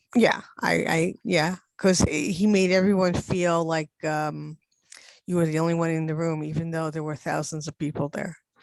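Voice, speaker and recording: Using a plain, everyday voice, a woman speaks at a moderate pace with a fairly low pitch and fairly even intonation. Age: 60s. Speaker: class participant. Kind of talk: casual chat.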